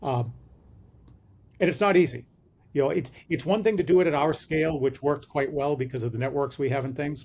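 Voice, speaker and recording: A man with a fairly high, somewhat breathy voice speaks at a fairly quick pace. His pitch variation is ordinary, and his pauses are long and frequent. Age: 60s. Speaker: management consultant. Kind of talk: interview. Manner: hesitant with fillers.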